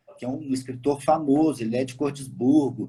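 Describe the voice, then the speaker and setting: The man's voice has a dark, mellow tone. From Minas Gerais, Belo Horizonte. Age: 30s. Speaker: tour operator. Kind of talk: live stream interview.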